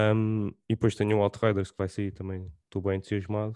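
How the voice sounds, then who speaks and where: A dark, mellow voice with a European Portuguese accent, monotone and flat, at a fairly quick pace, in a dry, close recording with no echo and a quiet background. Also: man. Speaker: podcast host. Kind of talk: casual chat.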